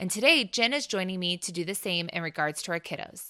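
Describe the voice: The speaker is a woman with a fairly low pitch. Her tone is clear and smooth as well as bright and sharp. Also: lively intonation, fairly quick pace.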